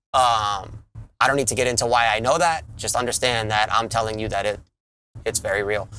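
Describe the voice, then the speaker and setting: A man with a New York accent, medium in pitch, bright and sharp in tone, at a fairly quick pace with fairly even intonation. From Long Island, New York. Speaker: podcast co-host. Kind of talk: casual chat.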